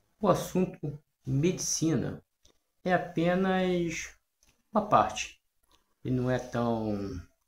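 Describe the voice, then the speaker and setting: Speaking at a very slow pace with long, frequent pauses, a man uses lively intonation at a fairly high pitch amid audible room echo. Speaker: natural health and self-healing channel host. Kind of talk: casual talk to camera. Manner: hesitant, with frequent fillers. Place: home room. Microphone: phone near.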